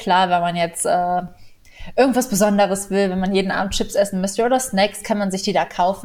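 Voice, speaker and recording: A woman's medium-pitched voice, an ordinary speaking voice. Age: 20s. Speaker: animal welfare volunteer. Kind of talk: interview.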